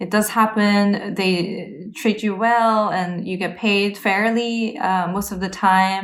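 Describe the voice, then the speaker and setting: A woman's very slow, monotone delivery with flat intonation, in audible room echo. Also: medium pitch for a woman. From Korea and small-town Canada. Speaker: cellist. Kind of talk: casual interview conversation. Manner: halting, many fillers.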